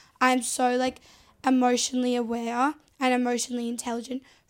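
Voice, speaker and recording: A woman talks at a fairly quick pace in a high pitch, her intonation monotone and flat. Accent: Australian. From Australia, Sydney. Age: 20s. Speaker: reality TV contestant and social media personality. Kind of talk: casual interview.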